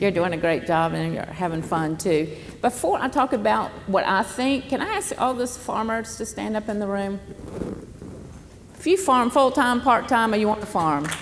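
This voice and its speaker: A woman with a Southern US accent speaks at a moderate pace in a fairly high pitch, with lively intonation. Noticeable background noise and audible room echo are present. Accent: Southern US (Georgia). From US South, southern Georgia. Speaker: former government official, panelist. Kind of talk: panel discussion. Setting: stage with audience.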